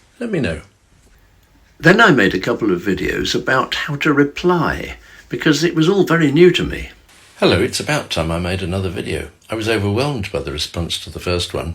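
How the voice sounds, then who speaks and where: Speaking with a southern English accent, a man uses a medium pitch with vocal fry and very wide pitch swings at a fairly quick pace. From London area, England. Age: 70s. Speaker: retired teacher and social media creator. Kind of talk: casual direct-to-camera talk. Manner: stilted in early videos; halting, repeats words.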